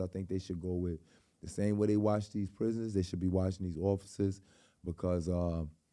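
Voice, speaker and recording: Flat and monotone, a man with a New York accent speaks at a fairly low pitch in a dark, mellow tone, in a very clean recording with a silent background. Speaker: podcast host. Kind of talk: casual interview.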